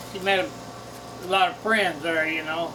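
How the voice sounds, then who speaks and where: Over noticeable background noise and audible room echo, a man with an American accent speaks in a raised, projected voice at a high pitch, at a moderate pace with fairly even intonation. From US Midwest (southern Missouri Ozarks). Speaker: longtime resident, interviewee. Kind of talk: oral history interview. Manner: halting, with many fillers.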